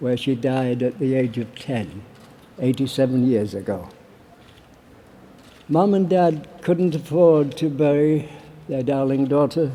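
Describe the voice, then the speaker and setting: A man with a Yorkshire accent speaks at a fairly slow pace with ordinary pitch variation. He leaves long, frequent pauses. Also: fairly high pitch for a man. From Barnsley, Yorkshire, England. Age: 80s+. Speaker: war veteran. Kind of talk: political conference speech. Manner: passionate.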